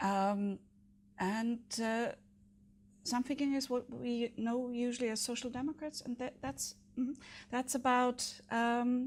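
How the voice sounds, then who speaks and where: With a German accent, a woman speaks at a fairly slow pace with a high pitch, fairly even intonation, and long, frequent pauses. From Germany. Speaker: city council candidate. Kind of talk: interview. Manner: hesitant, many fillers.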